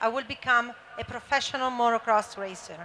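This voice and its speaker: A woman with an Italian accent speaks at a moderate pace with fairly even intonation. Her voice is high in pitch, with a bright, sharp tone. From Italy. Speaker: former motocross racer and founder. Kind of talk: panel discussion. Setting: stage with audience.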